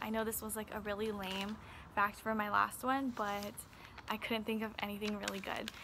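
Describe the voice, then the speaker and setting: A woman speaks quietly at a fairly high pitch. Her pace is moderate, and there is noticeable background noise. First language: Chinese and Vietnamese. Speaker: beauty vlogger. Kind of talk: casual vlog talk. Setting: outdoors in backyard.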